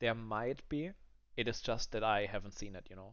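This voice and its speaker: This man has a non-native accent. His intonation stays fairly even. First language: not English. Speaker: gaming content creator. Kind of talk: gameplay review commentary. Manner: halting, many fillers.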